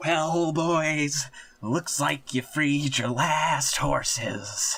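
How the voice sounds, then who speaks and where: Using a put-on character voice, a man talks very slowly at a fairly high pitch. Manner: gruff.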